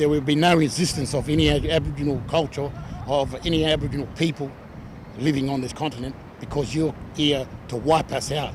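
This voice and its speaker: A man's fairly high, monotone, flat voice at a fairly quick pace, broken by long, frequent pauses, over noticeable background noise. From Australia. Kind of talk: protest interview. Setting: outdoors at a rally.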